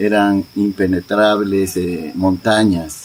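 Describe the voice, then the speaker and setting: Over noticeable background noise, a man talks in a fairly low voice with fairly even intonation. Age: 70s. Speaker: community elder. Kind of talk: oral history interview.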